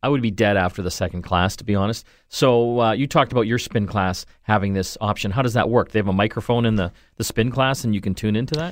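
Ordinary pitch variation at a very fast pace, captured on a very clean recording with a silent background. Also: man, fairly low pitch for a man. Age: 50s. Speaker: radio tech show host. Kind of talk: radio show hosting.

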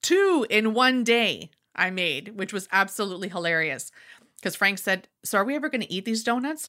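Bright and sharp, the voice moves at a moderate pace with lively intonation on a very clean recording with a silent background. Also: woman, medium pitch for a woman. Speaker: podcast host and chef. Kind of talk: casual conversational chat, podcast episode.

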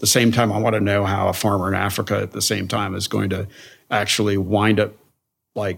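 A normal speaking voice with an American accent at a fairly quick pace, in a very clean recording with a silent background. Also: man. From New Jersey (northwest). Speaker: university president, intelligence educator. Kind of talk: interview.

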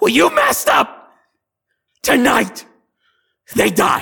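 Growling and raspy, a man puts on a character voice at a fairly slow pace. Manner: menacing, snarling.

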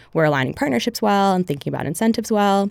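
A woman speaks with vocal fry and lively intonation. The recording is very clean with a silent background. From US Midwest, Michigan. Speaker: MBA student. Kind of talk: interview.

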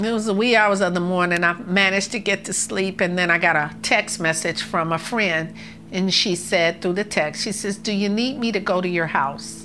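There is noticeable background noise as a woman with a Detroit accent speaks at a moderate pace. Her pitch is medium, with ordinary variation. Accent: Detroit American. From US Midwest, Detroit. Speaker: victim's mother. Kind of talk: interview testimony.

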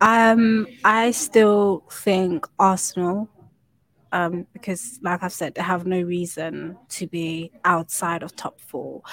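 Speaking at a very slow pace, a woman with a medium pitch makes big swings in loudness. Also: ordinary pitch variation. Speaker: football podcaster. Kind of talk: casual chat. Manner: rambling.

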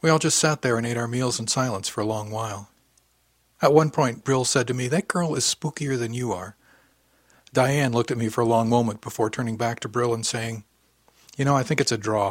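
A man talks at a fairly quick pace in an ordinary speaking voice, with medium pitch and ordinary pitch variation. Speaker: audiobook narrator. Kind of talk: sci-fi audiobook narration, first-person read with character dialogue. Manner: measured, even storyteller pacing with light character voices and dry humor.

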